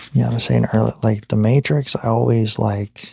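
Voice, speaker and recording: A man speaks softly at a fairly slow pace. The sound is dry and close, with no echo. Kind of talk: ASMR boyfriend roleplay sleep ramble. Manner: soft-spoken.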